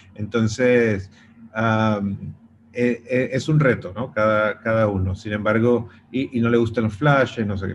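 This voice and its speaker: Fairly slow and fairly even in intonation, the speech comes through noticeable background noise. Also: man, medium pitch for a man. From Venezuela. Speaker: pet photographer. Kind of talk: interview. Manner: halting.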